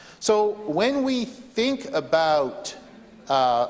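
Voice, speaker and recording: With noticeable background noise behind him, a man talks in very wide pitch swings. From southeastern New Brunswick, Canada. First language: French. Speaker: legislator. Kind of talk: parliamentary debate speech. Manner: hesitant, many fillers and repetitions.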